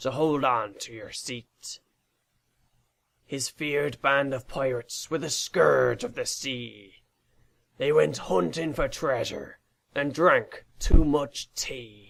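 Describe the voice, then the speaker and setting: In a put-on character voice, a raspy man at medium pitch talks at a fairly slow pace, with big swings in loudness and long, frequent pauses. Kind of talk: rhyming children's story narration. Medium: read story. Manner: theatrical, playful, sing-song.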